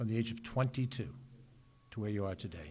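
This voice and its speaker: A man speaks in a New York accent. His pitch variation is ordinary. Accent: New York area American. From New York, Westchester (Mount Vernon). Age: 60s. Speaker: county executive, politician. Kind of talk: ceremonial speech. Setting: public ceremony at ambulance corps building. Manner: earnest, with frequent filler 'uh'.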